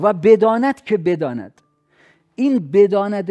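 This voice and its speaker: A man with a high pitch, a dark, mellow tone and lively intonation, at a very slow pace against a quiet background. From Iran, Khuzestan. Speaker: author and university lecturer. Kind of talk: interview.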